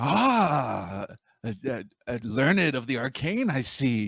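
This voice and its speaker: A man puts on a character voice and speaks at a fairly slow pace in a very clean recording with a silent background. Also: medium pitch for a man. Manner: wheedling, inviting.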